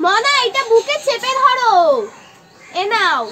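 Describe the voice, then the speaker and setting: In a cartoonish character voice, a woman speaks at an extremely high pitch. Her intonation is lively. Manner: curt, scolding.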